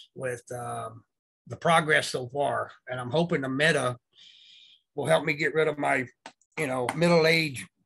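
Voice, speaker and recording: This man's voice is fairly high in pitch, with a bright, sharp tone. He moves at a fairly slow pace with ordinary pitch variation. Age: 60s. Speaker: essential oils user sharing experience. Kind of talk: casual chat. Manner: halting, many fillers.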